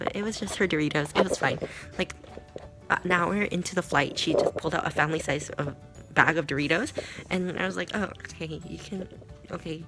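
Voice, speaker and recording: With music in the background, a woman speaks at a fairly quick pace, fairly low in pitch, with ordinary pitch variation. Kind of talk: casual vlog talk to camera.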